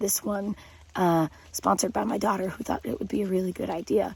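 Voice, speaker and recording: Her voice is that of a woman. Background noise can be clearly heard behind it. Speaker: science teacher / educational video host. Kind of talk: educational talk to camera. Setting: outdoors at a campground in the rain. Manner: quiet, subdued voice.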